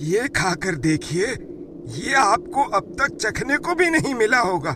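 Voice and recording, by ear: A man in a cartoonish character voice, extremely high in pitch, raised and projected, at a fairly slow pace, with clear background noise.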